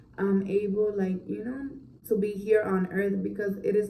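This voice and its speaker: A woman talks at a medium pitch while the room adds an audible echo. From Orlando, Florida, Puerto Rican family. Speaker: mom vlogger. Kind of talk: casual Q&A chat to camera. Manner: casual, filler-heavy.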